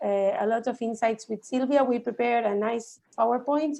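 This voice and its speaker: A woman with a Spanish accent talks at a moderate pace in a high pitch, her dark, mellow tone showing ordinary pitch variation. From Argentina. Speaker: VOD industry expert. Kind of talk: online workshop presentation.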